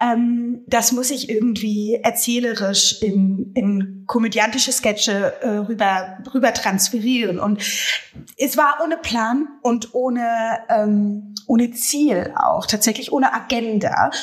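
A woman speaks fairly slowly at a fairly high pitch with ordinary pitch variation. Noticeable background noise is present. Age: 30s. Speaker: social media comedian. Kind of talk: casual chat. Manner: hesitant, many fillers.

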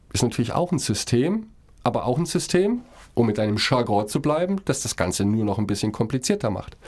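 A man whose pitch swings very widely as he speaks. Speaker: podcast co-host. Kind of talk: casual chat.

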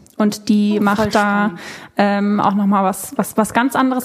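A woman speaks at a fairly quick pace in a fairly high pitch. Noticeable background noise sits behind her. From Germany, Cologne. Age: 20s. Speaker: content creator and former flight attendant. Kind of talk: casual chat.

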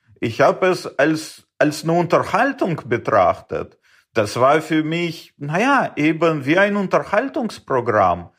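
At a very slow pace, a man with a high pitch speaks in very wide pitch swings. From Uzbekistan. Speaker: space startup founder. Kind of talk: interview. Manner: hesitant, many fillers.

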